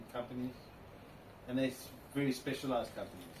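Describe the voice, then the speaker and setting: Speaking at a medium pitch with a South African accent, a man is heard through audible room echo and noticeable background noise. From South Africa, Cape Town. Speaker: classic car owner. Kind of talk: interview.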